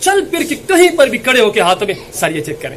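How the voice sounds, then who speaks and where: A man shouting loudly in an animated tone, his intonation lively, over noticeable background noise. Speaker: small business advice YouTuber. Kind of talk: motivational business tutorial. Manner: loud, shouting.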